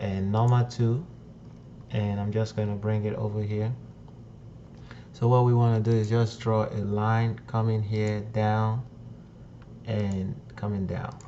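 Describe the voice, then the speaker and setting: A man speaks fairly slowly in a fairly low, flat monotone, with long, frequent pauses. Room echo is audible. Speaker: CAD software tutorial maker. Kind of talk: tutorial. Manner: slow, deliberate explanation.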